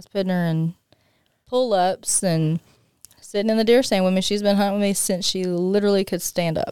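With an American accent, the voice has a dark, mellow tone and a fairly quick pace, recorded with a dry, close sound and no echo. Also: woman, medium pitch for a woman. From northeast Louisiana. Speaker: hunter and lumber sales worker. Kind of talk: casual chat.

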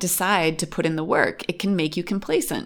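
In a very clean recording with a silent background, a woman speaks in a fairly low voice with a western New York accent. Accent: American, western New York. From Western New York, US. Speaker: podcast host, expat parent. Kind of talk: casual chat.

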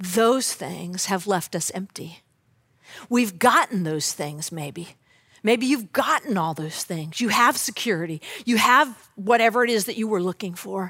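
On a very clean recording with a silent background, a woman speaks fairly slowly at a medium pitch with lively intonation. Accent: American. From Southern California. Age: 50s. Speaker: church staff member preaching. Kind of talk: sermon.

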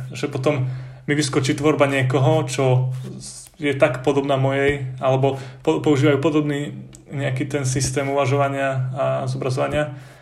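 Somewhat breathy and fairly high-pitched, a man talks at a moderate pace in a monotone, flat intonation, with audible room echo. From central Slovakia, between Lučenec and Detva. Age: 20s. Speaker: art student. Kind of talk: interview.

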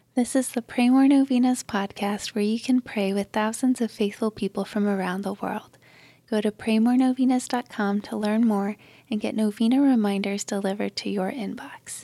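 A woman's plain, everyday voice, fairly high in pitch, at a moderate pace with a dry, close sound and no echo. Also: fairly even intonation, very clean recording, silent background. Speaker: prayer podcast host. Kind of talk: fervent prayer, led devotional prayer read aloud. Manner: warm and gentle, sincere.

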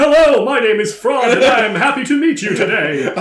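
Putting on a character voice, a man speaks at a fairly quick pace in an extremely high pitch. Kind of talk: polite greeting. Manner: excited.

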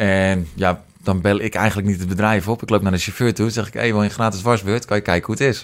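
A man with an unremarkable speaking voice talks at a fairly quick pace and a fairly low pitch with fairly even intonation. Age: 20s. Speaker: business owner. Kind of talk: casual interview.

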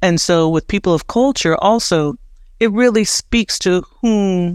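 A woman speaks at a moderate pace in a plain, everyday voice, with ordinary pitch variation. The recording is very clean and dry, close-miked with no echo and a silent background. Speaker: web3 creative entrepreneur and curator. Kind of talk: casual interview conversation.

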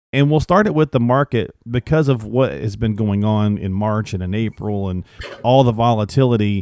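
An unremarkable speaking voice at a moderate pace, with ordinary pitch variation and a dry, close sound with no echo. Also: man, fairly low pitch for a man. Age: 50s. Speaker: podcast co-host. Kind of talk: casual chat.

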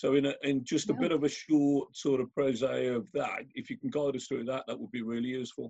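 Delivered at a fairly quick pace with hardly any pauses, this is an unremarkable speaking voice with ordinary pitch variation. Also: man, fairly high pitch for a man. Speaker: event host and business chairman. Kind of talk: live interview.

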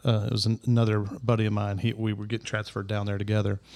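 A man with a Southern US accent, fairly low pitch and monotone, flat intonation, in a very clean recording with a silent background. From US South, Middle Tennessee. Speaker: podcast guest. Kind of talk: casual chat.

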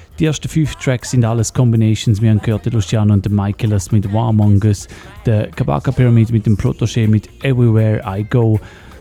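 A man speaks at a very fast pace with very even loudness. Music plays in the background. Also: fairly low pitch for a man, ordinary pitch variation. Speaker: radio host. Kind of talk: radio show presenting, announcing reggae and dancehall tracks in German between songs.

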